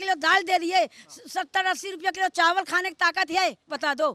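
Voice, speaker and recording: A woman's extremely high, bright, sharp voice, raised and projected, at a moderate pace, with a dry, close sound and no echo. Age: 60s. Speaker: local resident interviewed on street. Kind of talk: street interview, angry complaint. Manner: halting, stammering restarts.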